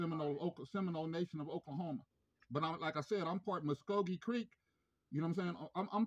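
A man with a high voice talks at a very fast pace. His pitch varies in an ordinary way against a quiet background. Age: 50s. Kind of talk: phone complaint call. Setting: phone call. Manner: halting. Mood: aggrieved, confrontational. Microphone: phone near.

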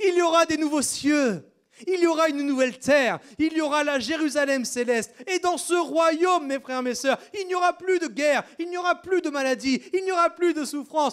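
A man talks at a moderate pace in an extremely high pitch, with ordinary pitch variation. He hardly pauses, and the background is quiet. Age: 30s. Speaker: pastor. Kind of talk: sermon. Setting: church. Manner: animated. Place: church. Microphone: handheld.

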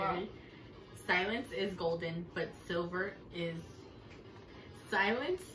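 With light background noise and audible room echo, a woman speaks at a very slow pace with long, frequent pauses. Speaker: challenge reader. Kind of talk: casual talk to camera. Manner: loud, excited, playful. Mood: playful, laughing. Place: home room.

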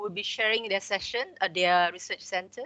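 With a bright, sharp tone, a woman speaks using ordinary pitch variation. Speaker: session moderator. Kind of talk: moderating a webinar. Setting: video call. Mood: polite, grateful, calm. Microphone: headset.

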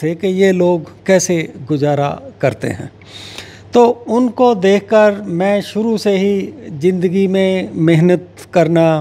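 Long, frequent pauses break up a man's very slow speech. He talks at a high pitch with ordinary pitch variation. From Punjab, India (Hoshiarpur district); Punjab, India. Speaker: agricultural economist and policy adviser; interviewee. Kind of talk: interview. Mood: calm, reflective. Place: home room. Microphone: handheld.

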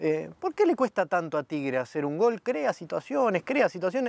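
A man talks at a moderate pace with very wide pitch swings. The sound is dry with no echo. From Argentina. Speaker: club media interviewer. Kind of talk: interview. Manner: halting, many fillers and repetitions. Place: stadium.

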